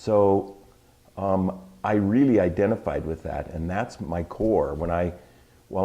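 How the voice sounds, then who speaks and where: A man talks with ordinary pitch variation. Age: 60s. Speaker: artist. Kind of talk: interview. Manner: animated.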